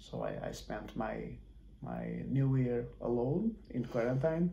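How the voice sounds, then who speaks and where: With audible room echo, a man speaks in a Portuguese accent. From Portugal. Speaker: football coach. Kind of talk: interview. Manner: halting.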